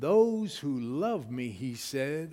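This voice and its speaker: A man's fairly high-pitched voice, very slow and lively in intonation, with audible room echo. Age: 60s. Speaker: preacher. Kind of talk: sermon. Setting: church. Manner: animated.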